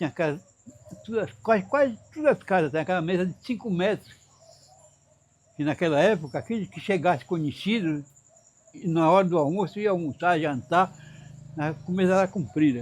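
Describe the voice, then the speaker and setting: At a moderate pace, a man speaks in a high voice with lively intonation and long, frequent pauses. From Amazonas interior, Brazil. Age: 90s. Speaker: elderly local resident. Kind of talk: interview testimony. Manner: halting.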